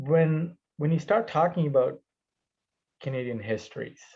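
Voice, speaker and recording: Somewhat breathy, a man talks at a fairly slow pace in a fairly high voice. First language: not English. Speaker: presenter. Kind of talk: Q&A discussion. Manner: repetitive, stumbling.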